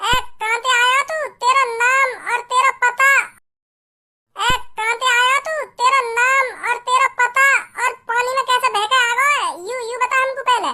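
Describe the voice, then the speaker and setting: A cartoonish character voice at a moderate pace, monotone and flat, with long, frequent pauses. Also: woman, extremely high pitch for a woman. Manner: rambling, repetitive.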